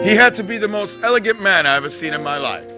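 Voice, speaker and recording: A man's voice over music in the background. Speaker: spoken word poet and performer. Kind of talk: spoken word storytelling, poetry performance. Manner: rhythmic, expressive storytelling.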